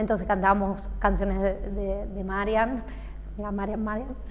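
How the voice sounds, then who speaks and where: With audible room echo, a woman speaks at a fairly slow pace in a medium pitch. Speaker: singer. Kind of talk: interview.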